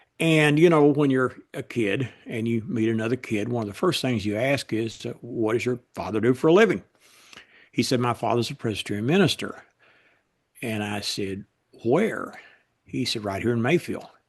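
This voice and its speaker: Against a quiet background, a man talks at a medium pitch and a moderate pace, with ordinary pitch variation and long, frequent pauses. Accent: Kentucky. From US South, Western Kentucky. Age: 70s. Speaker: political writer. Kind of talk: interview.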